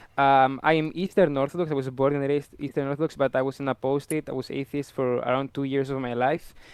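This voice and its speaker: Speaking at a very fast pace with hardly any pauses, a man with a strong Greek accent delivers a monotone, flat intonation at a fairly high pitch, in a dry, close sound with no echo. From Greece. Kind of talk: debate introduction.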